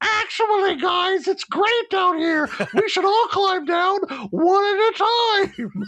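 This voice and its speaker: Extremely high in pitch, this put-on character voice moves at a fairly slow pace. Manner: suspicious, falsely cheerful.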